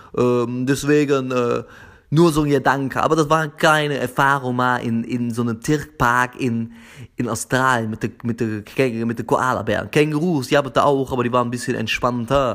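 On a very clean recording with a silent background, a man of medium pitch talks at a moderate pace with fairly even intonation. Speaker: podcast host. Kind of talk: casual solo podcast monologue. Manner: halting, with frequent repetitions and fillers.

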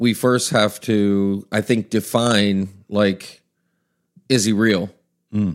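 In a Maryland accent, a man speaks at a fairly low pitch and very slow pace, with fairly even intonation and long, frequent pauses. The recording is very clean, with a silent background. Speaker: pastor. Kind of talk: casual talk about faith, podcast discussion.

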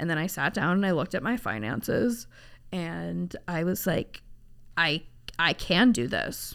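A woman speaks with vocal fry and very wide pitch swings in a very clean recording with a silent background. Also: fairly low pitch for a woman, fairly slow pace. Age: 30s. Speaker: podcast host. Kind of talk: casual chat. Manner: animated.

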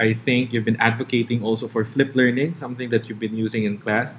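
This man's speech races along at a very fast pace. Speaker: podcast host, teacher. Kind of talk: interview.

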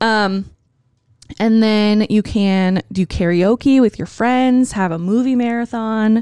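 Recorded very cleanly against a silent background, a woman speaks in an ordinary speaking voice, fairly high in pitch, with ordinary pitch variation. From Wisconsin. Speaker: podcast co-host. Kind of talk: casual chat.

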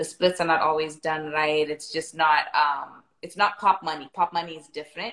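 A woman's very deep, low voice at a moderate pace, fairly even in intonation, with big swings in loudness. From South Africa. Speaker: singer-songwriter. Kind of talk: casual interview.

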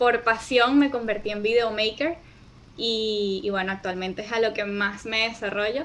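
Pitched fairly high, this woman has a normal speaking voice. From Venezuela. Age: 20s. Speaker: video editor and entrepreneur. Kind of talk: interview conversation.

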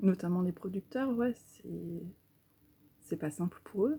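A woman of medium pitch speaks slowly, at a fairly slow pace, in a dark, mellow and somewhat breathy voice with ordinary pitch variation. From Normandy, Cherbourg. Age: 30s. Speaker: local food network founder. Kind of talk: casual interview.

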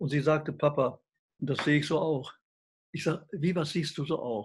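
A man talks at a moderate pace in a fairly high, somewhat breathy voice. His pitch varies in an ordinary way. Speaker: health researcher. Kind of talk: interview. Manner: animated.

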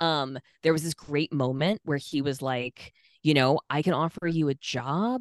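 With an American accent, a woman speaks at a fairly slow pace in a very deep, low pitch. The sound is dry and close, with no echo. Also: quiet background. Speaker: sex worker rights activist and comedian. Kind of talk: casual interview chat.

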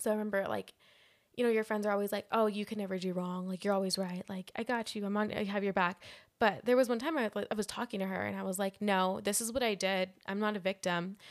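On a very clean recording with a silent background, a woman talks at a very fast pace and medium pitch. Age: 20s. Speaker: podcast co-host. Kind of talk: casual chat. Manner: animated.

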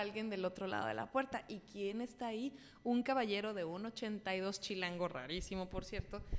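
This woman has an ordinary speaking voice, pitched fairly high, with lively intonation. She keeps a moderate pace with hardly any pauses. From Mexico City. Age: 20s. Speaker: comedian and YouTuber. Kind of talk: casual chat.

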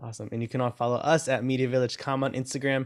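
Very fast male speech, medium in pitch. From US, Salvadoran immigrant family. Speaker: podcast host. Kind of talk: interview.

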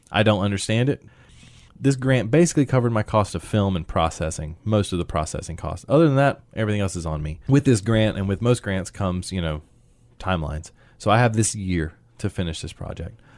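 A man with an American accent, fairly low pitch, lively intonation and a very fast pace on a very clean recording with a silent background. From US South, central North Carolina. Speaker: photographer. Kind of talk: interview.

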